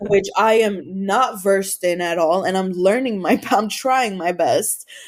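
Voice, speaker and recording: Over noticeable background noise, a woman speaks at a fairly slow pace in an animated tone. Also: medium pitch for a woman, ordinary pitch variation. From Los Angeles, US. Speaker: comedian. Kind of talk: casual chat.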